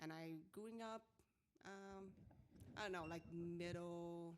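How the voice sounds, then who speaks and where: A woman's fairly low voice in a Vietnamese accent, at a fairly slow pace with fairly even intonation. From Vietnam, small town. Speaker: salon owner. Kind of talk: interview. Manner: halting.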